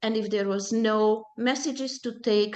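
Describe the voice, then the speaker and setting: A woman with a Hungarian accent, fairly high in pitch, at a very slow pace. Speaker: Holocaust survivors' daughter, presenter. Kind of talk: personal testimony talk. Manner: halting, with self-corrections.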